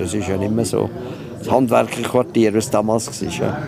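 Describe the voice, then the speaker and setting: Noticeable background noise runs under a man who speaks at a fairly quick pace with a fairly low pitch and ordinary pitch variation. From Switzerland, Stans (Nidwalden). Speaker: local historian and village guide. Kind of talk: casual interview. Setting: outdoors.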